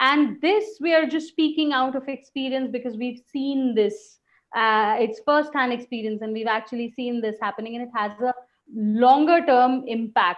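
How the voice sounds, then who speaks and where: A woman with an Indian accent speaks at a moderate pace in a high voice. Her pitch rises and falls in an ordinary way. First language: Hindi. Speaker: webinar host, communication coach. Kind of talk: webinar presentation.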